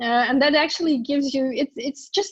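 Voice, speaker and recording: Ordinary pitch variation marks this woman's voice. She talks at a moderate pace. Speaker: service design consultant. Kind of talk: conference talk. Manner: halting.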